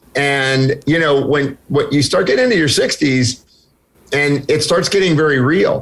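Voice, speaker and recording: A man with a fairly high, somewhat breathy voice speaks at a moderate pace with ordinary pitch variation and very even loudness. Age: 60s. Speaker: health and wellness expert. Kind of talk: interview.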